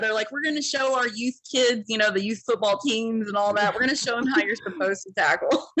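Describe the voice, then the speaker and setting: A woman with an American accent at a fairly high pitch, fairly quick and with hardly any pauses, ordinary pitch variation, and noticeable background noise. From Ohio. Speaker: single mom, industrial sales worker. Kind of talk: podcast interview. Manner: casual, filler-heavy.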